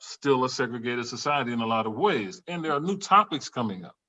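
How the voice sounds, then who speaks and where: A man with an American accent, fairly quick pace and lively intonation. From US South, Louisiana. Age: 60s. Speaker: psychology professor. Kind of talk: casual chat. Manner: animated.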